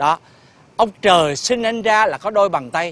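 Crowd noise sits behind a man whose voice comes through dry with no echo. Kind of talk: scripted comedy dialogue. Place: street.

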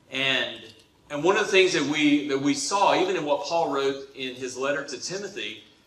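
A man speaks at a moderate pace with a fairly bright tone and ordinary pitch variation. Strong room echo surrounds his voice.

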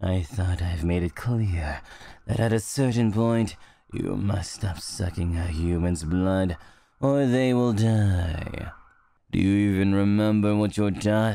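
Putting on a character voice, a man speaks fairly slowly at a fairly low pitch. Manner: scolding, exasperated.

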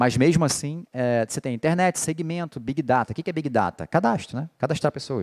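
The background stays quiet. A man's pitch moves with ordinary variation. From Rio de Janeiro, Brazil. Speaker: political marketing lecturer. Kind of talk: lecture. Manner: casual, animated. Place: hall. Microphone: handheld.

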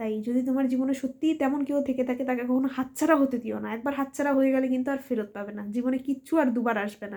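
Fairly even intonation from a woman with a high-pitched voice. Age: 20s. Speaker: content creator. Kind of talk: personal vlog monologue. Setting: at home late at night.

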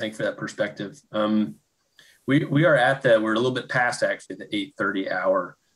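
The voice has vocal fry and a moderate pace. The background is quiet. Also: man. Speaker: lab associate director; host of an online talk series. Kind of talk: seminar introduction. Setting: video call. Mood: warm, grateful. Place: home room. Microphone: webcam.

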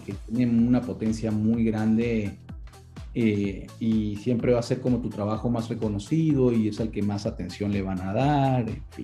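Faint music plays in the background as a man speaks at a fairly slow pace, his fairly low pitch held in fairly even intonation. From Venezuela. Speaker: voice actor. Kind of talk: interview answer. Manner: casual, conversational. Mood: relaxed, reflective. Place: home room. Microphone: video call.

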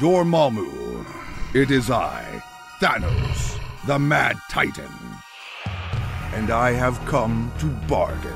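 The speech moves at a very slow pace while clear music plays in the background. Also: man. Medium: audio drama. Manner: menacing, imperious.

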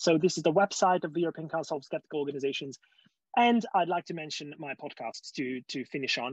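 A man's fairly high voice at a very fast pace, with ordinary pitch variation and a dry sound with no echo. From Hungary. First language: Hungarian. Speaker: skeptic movement speaker; speaker. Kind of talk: conference talk; lecture. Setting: video call. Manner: halting. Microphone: video call.

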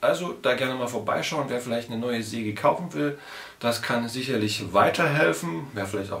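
A man talks at a fairly quick pace with ordinary pitch variation, and audible room echo is present. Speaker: woodcarving channel host. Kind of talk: casual vlog chat. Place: home room.

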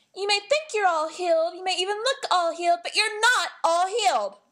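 This female-sounding cartoonish character voice is pitched extremely high and moves at a moderate pace. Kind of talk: anime character demo reel. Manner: pleading, worried.

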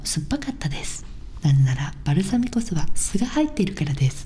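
Whispering and soft-spoken, a woman talks at a moderate pace over light background noise. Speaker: comedian and video host. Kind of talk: ASMR whispered wordplay video. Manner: whispering, soft-spoken, casual. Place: home room. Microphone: studio mic.

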